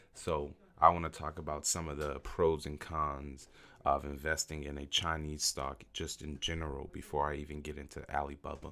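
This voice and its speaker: A man with a very deep, low pitch talks at a moderate pace in a monotone, flat intonation. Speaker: investing podcast host. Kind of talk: solo podcast monologue. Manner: casual, hesitant with fillers.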